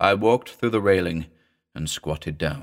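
Against a quiet background, the text comes in an unforced reading voice.

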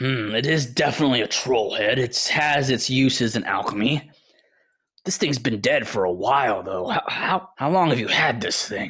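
At a moderate pace, a man puts on a character voice. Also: medium pitch for a man. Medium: actual play. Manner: polite, shrewd bargaining.

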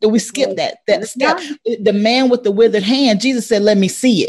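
Her voice comes across as somewhat breathy. The woman speaks at a fairly high pitch. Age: 40s. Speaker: educator and coach.

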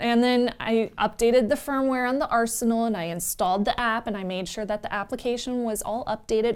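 A woman's fairly high pitch, with ordinary pitch variation, comes through a very clean recording with a silent background. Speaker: tech podcast co-host. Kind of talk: casual tech chat. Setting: studio. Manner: fast.

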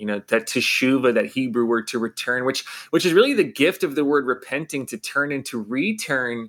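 In a plain, everyday voice, a man at medium pitch talks at a fairly quick pace with lively intonation and hardly any pauses, on a very clean recording with a silent background. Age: 30s. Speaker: pastor and author. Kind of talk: interview.

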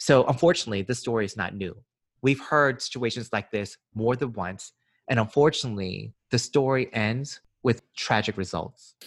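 An unremarkable speaking voice with an American accent, at a moderate pace and with ordinary pitch variation, on a very clean recording with a silent background. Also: man, medium pitch for a man. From US South, Georgia. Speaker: podcast co-host. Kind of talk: casual podcast discussion. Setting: home recording during quarantine.

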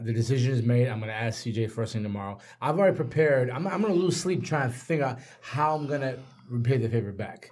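Somewhat breathy, a man talks very fast in a medium pitch with lively intonation. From Nigeria. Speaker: podcast co-host. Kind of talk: casual chat. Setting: studio.

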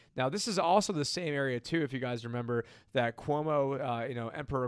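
Here a man talks at a fairly quick pace, in an ordinary speaking voice with ordinary pitch variation. The recording is very clean against a silent background. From upstate New York (Syracuse). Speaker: financial advisor and co-host. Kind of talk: casual chat on live stream.

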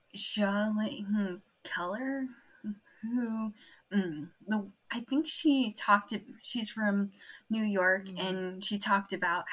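Using a Californian accent, a woman speaks at a very slow pace with long, frequent pauses. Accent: general American, Californian. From California, US. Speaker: adoptee, university student. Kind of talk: casual interview chat.

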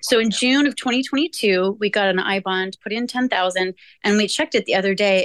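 A woman talks in a plain, everyday voice at medium pitch, with ordinary pitch variation and a fairly quick pace. The sound is dry and close, with no echo. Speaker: youth program staff. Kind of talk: moderated discussion. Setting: video call.

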